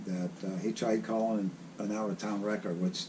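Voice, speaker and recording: With a dark, mellow tone, a man talks in monotone, flat intonation. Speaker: retired tow truck operator. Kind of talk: interview. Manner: halting.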